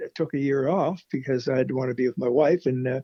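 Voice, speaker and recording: Speaking with a Maritime Canadian accent, a man uses a fairly high pitch marked by vocal fry. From Nova Scotia, Canada. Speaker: country musician. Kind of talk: interview answer.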